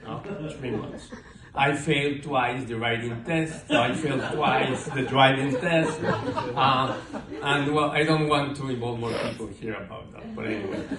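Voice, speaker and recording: Big swings in loudness from a speaker with a Mexican accent, ordinary pitch variation, a fairly slow pace, audible room echo and noticeable background noise. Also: man, medium pitch for a man. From Mexico, Mexico City. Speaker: amateur stand-up comedian. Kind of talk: stand-up. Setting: stage with audience. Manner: halting, many fillers.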